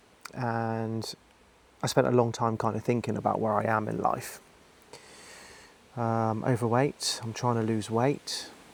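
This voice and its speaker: Speaking with monotone, flat intonation at medium pitch, a man goes at a fairly slow pace with long, frequent pauses. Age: 40s. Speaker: vlogger. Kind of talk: personal vlog monologue. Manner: hesitant, with many fillers.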